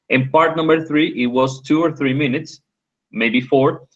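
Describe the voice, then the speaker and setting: A man's unremarkable speaking voice, fairly even in intonation, over a quiet background. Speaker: English conversation tutor. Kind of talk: online English class.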